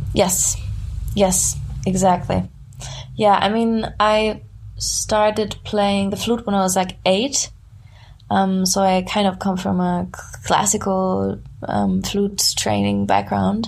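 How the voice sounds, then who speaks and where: Long, frequent pauses mark very slow speech with a German accent. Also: woman. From southern Germany near Frankfurt. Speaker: musician. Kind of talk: casual interview chat. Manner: halting.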